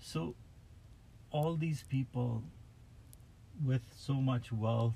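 Ordinary in pitch variation, a man of medium pitch speaks with a dark, mellow, somewhat breathy tone. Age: 40s. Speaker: driver. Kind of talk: casual chat. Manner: halting.

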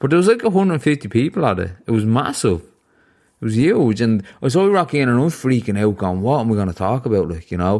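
Very wide pitch swings come at a very fast pace in a Dublin accent. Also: man, medium pitch for a man. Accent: Dublin Irish. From Ireland. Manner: radio-style podcast voice.

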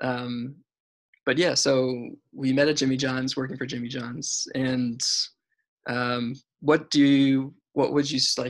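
The speaker has an American accent and talks at a fairly slow pace with monotone, flat intonation. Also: man. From Florida. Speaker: podcast host. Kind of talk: casual interview. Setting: video call. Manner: halting, many fillers.

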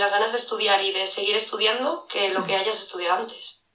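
Her voice has a fairly high pitch and a fairly quick pace. This woman is heard with audible room echo. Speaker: security analyst and lecturer. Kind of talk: casual interview. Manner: animated.

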